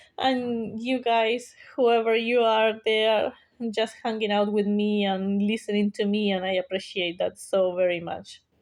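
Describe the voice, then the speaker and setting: This woman speaks with a non-native accent in a fairly high pitch. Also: fairly slow pace. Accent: non-native English accent, clear. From South America. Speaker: YouTuber. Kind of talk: casual monologue vlog. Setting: sitting at home talking to camera. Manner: hesitant, many fillers.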